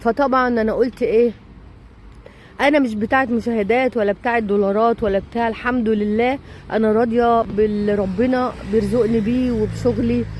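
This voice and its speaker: An animated voice comes through over noticeable background noise. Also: woman. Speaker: vlogger. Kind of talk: casual vlog monologue.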